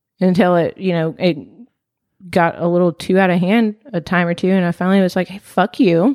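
With an unremarkable speaking voice, a woman talks at a medium pitch and fairly quick pace. Her intonation is fairly even, and the sound is dry and close with no echo. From US small town, born in Palestine. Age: 20s. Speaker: podcast guest. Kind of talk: casual chat.

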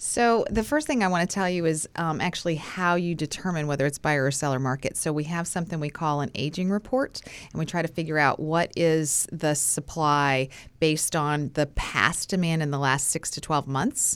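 A woman with an American accent, very deep and low in pitch, ordinary pitch variation, moderate pace, hardly any pauses, on a very clean recording with a silent background. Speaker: realtor. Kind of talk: casual chat. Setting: studio.

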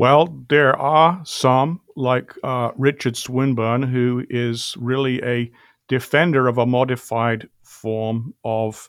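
Speaking at a very slow pace with a British accent, a man at medium pitch keeps a fairly even intonation in a very clean recording with a silent background. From England. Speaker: philosophy professor. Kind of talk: interview discussion.

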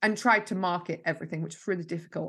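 Against a quiet background, a woman talks very fast in a fairly low pitch with a bright, sharp tone. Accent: Yorkshire. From Yorkshire, northern England. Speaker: marketing mentor. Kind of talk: interview. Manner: energetic.

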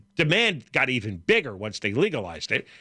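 A man with vocal fry and a bright, sharp tone, fairly quick, with very wide pitch swings, in a very clean recording with a silent background and a dry, close sound with no echo. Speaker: talk radio co-host. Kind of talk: talk radio chat. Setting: radio studio. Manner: fast.

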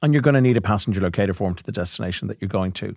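A man speaks with an Irish accent and very wide pitch swings. The recording is very clean, with a silent background. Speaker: travel company chief executive and podcast co-host. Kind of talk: casual chat.

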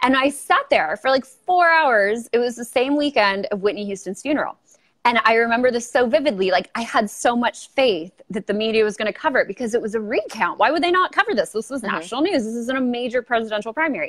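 A woman's high-pitched, very fast voice with lively intonation, hardly any pauses and a Southern Californian accent. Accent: Valley Girl. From Los Angeles, California. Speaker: YouTuber and political commentator. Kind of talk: casual interview. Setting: video call.

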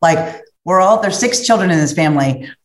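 A woman with an American accent speaks at a fairly low pitch, and the room echo is audible. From US Midwest, Cincinnati, Ohio. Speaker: corporate sales executive. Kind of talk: interview conversation.

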